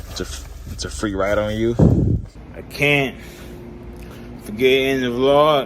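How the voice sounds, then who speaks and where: Noticeable background noise and audible room echo surround a man with a medium pitch and ordinary pitch variation. He talks at a fairly slow pace, with big swings in loudness and long, frequent pauses. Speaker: family vlogger. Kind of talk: casual vlog talk.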